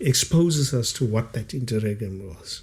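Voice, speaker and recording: This man speaks at a fairly slow pace. His voice is somewhat breathy. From South Africa, Cape Town area (Elsies River). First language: Kaaps (Cape Afrikaans). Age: 50s. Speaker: author and former detective, liberation struggle veteran. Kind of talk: podcast interview.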